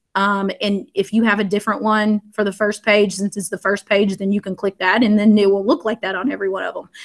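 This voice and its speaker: A woman with a Southern US accent talks at a fairly quick pace in a medium, monotone voice with flat intonation. The recording is very clean with a silent background. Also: hardly any pauses. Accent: US South. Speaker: education technology trainer, former teacher. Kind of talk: screen-share tutorial. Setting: live video stream.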